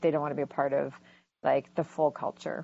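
A woman speaks in a very deep, low pitch with a Canadian accent. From Vancouver, Canada. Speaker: First Nations advocate. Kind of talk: panel discussion.

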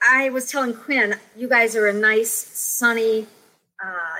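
In an American accent, a woman with a fairly high pitch uses a normal speaking voice and ordinary pitch variation. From US Midwest. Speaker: children's book author. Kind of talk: casual interview. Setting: video call.

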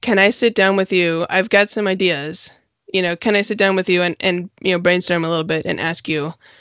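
A woman talks in a normal speaking voice at medium pitch. She keeps a fairly quick pace and fairly even intonation. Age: 40s. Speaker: podcast host and widowed parent. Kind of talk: interview conversation.

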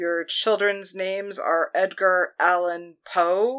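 A put-on character voice that sounds female speaks at a middle pitch and a very slow pace, with fairly even intonation. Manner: indignant, then commanding.

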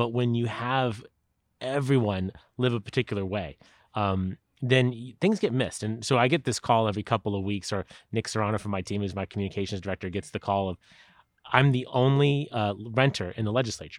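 In a Californian accent, a man talks at a fairly quick pace. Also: medium pitch for a man, ordinary pitch variation. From San Diego, California. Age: 40s. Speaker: politician. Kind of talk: interview. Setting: at the host's house.

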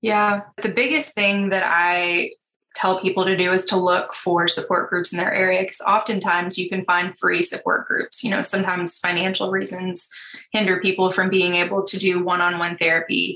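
A plain, everyday voice from a woman at medium pitch, moderate in pace, with fairly even intonation and very even loudness. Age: 30s. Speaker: animal rescue founder and counseling graduate student. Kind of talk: interview.

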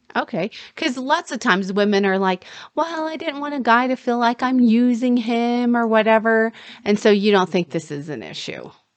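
This woman has a fairly high pitch and a normal speaking voice. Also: lively intonation, moderate pace. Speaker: dating and relationship coach. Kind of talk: casual chat. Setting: studio.

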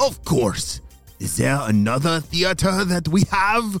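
A man puts on a character voice at a fairly high pitch and a fairly slow pace. Faint music plays behind him. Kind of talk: kids' audio story comic villain. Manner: bossy, impatient, gleeful scheming.

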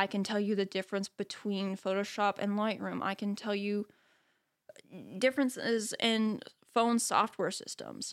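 On a very clean recording with a silent background, a woman with a normal speaking voice talks at a moderate pace, medium in pitch with fairly even intonation. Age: young. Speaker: podcast host and photography educator. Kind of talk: solo reflective monologue.

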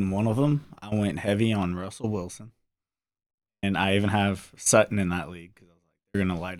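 A man with an American accent speaks in a normal speaking voice, fairly low in pitch, with big swings in loudness. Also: ordinary pitch variation, fairly quick pace. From US South, New Orleans. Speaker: football fan guest. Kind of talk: casual chat.

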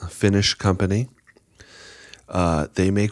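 Moderately paced male speech. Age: 30s. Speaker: hunter. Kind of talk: casual chat.

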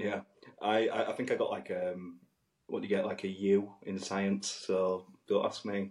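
A man speaks with a strong West Yorkshire accent. His pace is fairly slow. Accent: thick West Yorkshire. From northern England. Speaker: podcast co-host and musician. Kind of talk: casual chat. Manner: animated.

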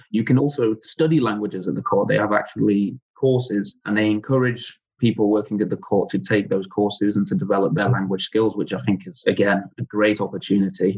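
A man with an English accent speaks at a fairly low pitch with ordinary pitch variation. He talks fairly quickly with hardly any pauses. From England. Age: 20s. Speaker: legal assistant at a European court. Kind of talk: interview.

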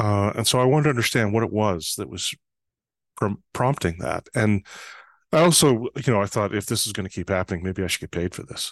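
A man speaks at a fairly quick pace in a normal speaking voice, fairly low in pitch, with a Canadian accent. His intonation is lively, and the sound is dry and close with no echo. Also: quiet background. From northern Canada, small town. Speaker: trust consultant. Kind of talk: interview.

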